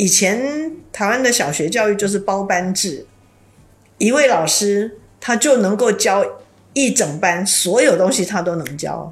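Somewhat breathy and at a medium pitch, a woman speaks at a fairly slow pace with lively intonation and long, frequent pauses, with audible room echo. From Taiwan. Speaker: university teacher. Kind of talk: interview conversation.

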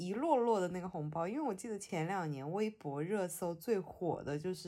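With a Hunan accent, a woman speaks at a fairly slow pace in a fairly low pitch, her tone dark and mellow and her intonation lively. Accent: Mandarin with a Hunan tinge. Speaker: podcast host. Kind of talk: casual chat.

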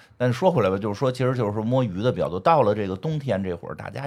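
A man's medium-pitched voice with vocal fry and lively intonation at a very fast pace, in a very clean recording with a silent background. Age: 40s. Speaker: podcast host. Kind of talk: casual chat. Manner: animated.

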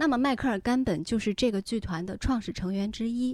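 A plain, everyday voice from a woman, fairly high in pitch, with lively intonation and a moderate pace, on a very clean recording with a silent background. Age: 30s. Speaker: anime and lifestyle podcast co-host. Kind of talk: casual chat.

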